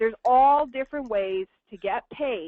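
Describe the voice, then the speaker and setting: A woman with a New York accent, animated and high-pitched, with lively intonation at a fairly slow pace. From Brooklyn, New York. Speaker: network marketing presenter. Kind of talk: business presentation.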